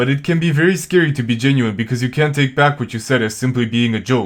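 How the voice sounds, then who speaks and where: Against a quiet background, a man talks at a very fast pace at medium pitch with ordinary pitch variation. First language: not English. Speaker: video essayist. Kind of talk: video essay narration.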